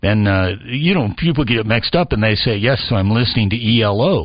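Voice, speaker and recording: He has an unremarkable speaking voice. The man keeps a moderate pace, with lively intonation. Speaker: radio history foundation president, former radio presenter. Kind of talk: radio talk show guest interview.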